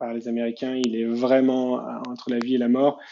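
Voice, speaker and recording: A man's monotone, flat intonation. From Paris region, France. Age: 30s. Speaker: startup founder and CEO. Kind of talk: interview.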